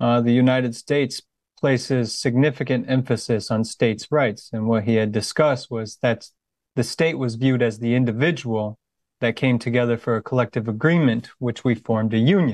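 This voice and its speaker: A man with an American accent and a normal speaking voice, medium pitch, fairly quick pace, and fairly even intonation, recorded with a dry, close sound with no echo and a quiet background. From USA. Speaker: volunteer interviewer, veteran. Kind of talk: interview.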